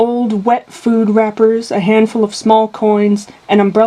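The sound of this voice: What we hear is an unforced reading voice.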